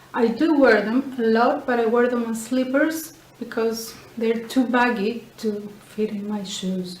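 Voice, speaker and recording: A woman with a Greek accent speaks at a fairly slow pace in a fairly high voice with fairly even intonation. Noticeable background noise and audible room echo fill the recording. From Greece. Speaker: knitting and sewing podcaster. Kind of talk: casual show-and-tell podcast. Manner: hesitant, with fillers.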